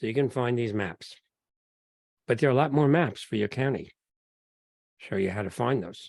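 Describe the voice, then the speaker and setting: With a New York accent, a man of medium pitch speaks at a moderate pace and pauses long and often. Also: ordinary pitch variation. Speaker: genealogy speaker. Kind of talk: lecture. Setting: video call. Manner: halting.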